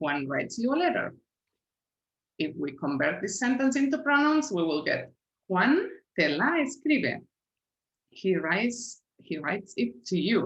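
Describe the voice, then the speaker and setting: Her fairly high voice carries vocal fry and very wide pitch swings as this woman talks at a fairly slow pace with long, frequent pauses. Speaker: language teacher. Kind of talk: tutorial.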